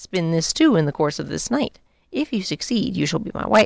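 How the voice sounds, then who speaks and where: A female-sounding, raspy put-on character voice at middle pitch swings very widely in pitch at a moderate pace. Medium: read story. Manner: commanding.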